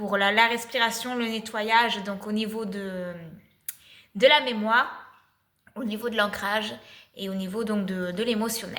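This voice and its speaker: A woman at a fairly high pitch and a fairly slow pace, with long, frequent pauses and audible room echo. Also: fairly even intonation. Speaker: spiritual channel, energy healer. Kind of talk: spiritual channeled message, casual monologue. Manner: hesitant, many filler sounds.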